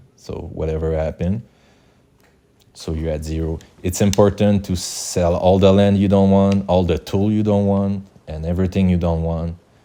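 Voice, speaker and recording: A man with a Quebec accent, a very deep, low pitch, a dark, mellow tone and fairly even intonation. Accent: Québécois French accent in English. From Quebec, Canada. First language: French. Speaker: gaming YouTuber. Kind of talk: game tutorial. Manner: halting, with many fillers and restarts.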